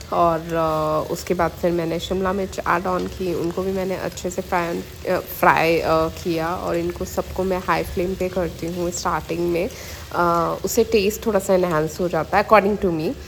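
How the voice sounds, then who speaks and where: Over noticeable background noise, a woman talks with hardly any pauses and monotone, flat intonation. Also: fairly slow pace. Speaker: vlogger. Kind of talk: casual vlog narration. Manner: hesitant with fillers.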